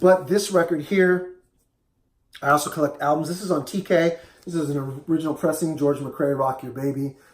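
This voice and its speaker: A man with a fairly high pitch speaks in a somewhat breathy voice with ordinary pitch variation. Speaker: record collector video host. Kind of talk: casual show-and-tell vlog.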